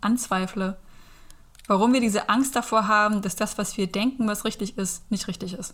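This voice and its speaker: On a very clean recording with a silent background, a woman with a normal speaking voice talks at a medium pitch with fairly even intonation. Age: 30s. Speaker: aspiring Reiki practitioner and van traveller. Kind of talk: casual interview.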